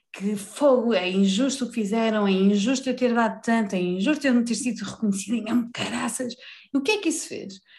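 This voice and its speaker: The woman's voice is fairly high. Its pitch moves in an ordinary way. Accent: European Portuguese. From Portugal, Vila Real. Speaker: life coach. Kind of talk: casual interview chat.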